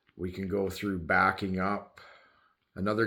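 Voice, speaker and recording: Audible room echo surrounds a man with a fairly low pitch. He speaks at a fairly slow pace in a monotone, flat intonation. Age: 60s. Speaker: truck driver. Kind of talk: casual monologue. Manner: halting, many fillers.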